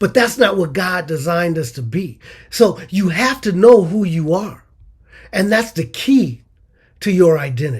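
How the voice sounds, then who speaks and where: This man has a high pitch and very wide pitch swings. He speaks at a fairly slow pace. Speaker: motivational speaker. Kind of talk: motivational talk.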